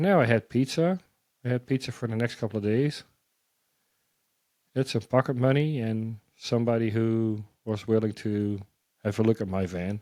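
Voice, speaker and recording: A man with a Dutch accent speaks in a dark, mellow tone. He leaves long, frequent pauses in a very clean recording with a silent background. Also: medium pitch for a man, ordinary pitch variation, moderate pace, dry, close sound with no echo. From Netherlands. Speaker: missionary. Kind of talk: testimony. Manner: animated.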